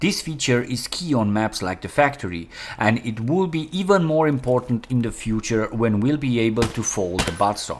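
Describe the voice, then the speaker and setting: With a non-native accent, a man talks in a medium pitch with lively intonation over noticeable background noise. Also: moderate pace, hardly any pauses. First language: not English. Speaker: gaming YouTuber. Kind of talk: tutorial.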